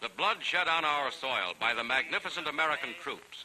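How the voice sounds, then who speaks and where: At a moderate pace, a man has a normal speaking voice with a fairly high pitch. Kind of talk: 1940s newsreel narration. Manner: brisk, authoritative.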